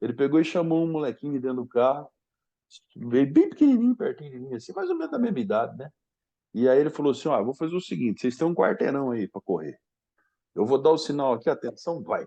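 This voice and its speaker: Speaking at a very fast pace, a man with a fairly high pitch, a dark, mellow tone and lively intonation sounds dry and close, with no echo. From Brazil, Paraná (Londrina). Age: 60s. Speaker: sports training professor. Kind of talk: podcast interview storytelling.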